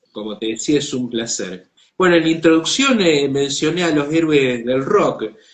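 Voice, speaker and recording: A man speaks with lively intonation. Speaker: online show host. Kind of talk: interview.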